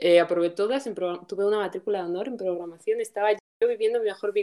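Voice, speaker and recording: Dark and mellow in tone, a woman's medium-pitched voice shows ordinary pitch variation. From Spain, Guadalajara. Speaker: podcast co-host, programmer. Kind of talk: casual chat.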